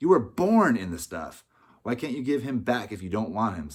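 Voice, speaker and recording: A growling, put-on character voice at a moderate pace. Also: man, medium pitch for a man. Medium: read story. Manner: blunt, gruff.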